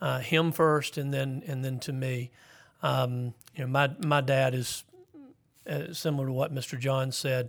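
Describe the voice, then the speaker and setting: A man at medium pitch delivers his words fairly slowly in a monotone, flat intonation. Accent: Southern US. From South Carolina. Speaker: school principal. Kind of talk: interview. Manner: halting.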